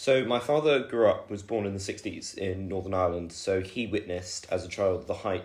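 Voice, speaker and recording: A man's fairly low, somewhat breathy voice at a fairly quick pace, with ordinary pitch variation. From southern England, Oxfordshire (Woodstock). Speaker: university student. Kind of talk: podcast interview. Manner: hesitant, many fillers.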